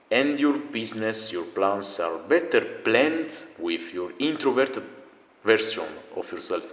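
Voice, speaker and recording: A man's medium-pitched voice with a non-native accent, very wide pitch swings, a fairly slow pace and long, frequent pauses amid noticeable background noise. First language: not English. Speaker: self-improvement video creator. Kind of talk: motivational talk. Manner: casual, animated.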